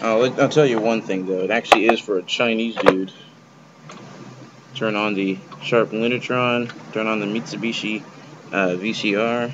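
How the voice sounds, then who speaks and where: Long, frequent pauses break up speech delivered at a moderate pace over loud background noise. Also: man. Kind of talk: casual vlog chat. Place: home room. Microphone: webcam.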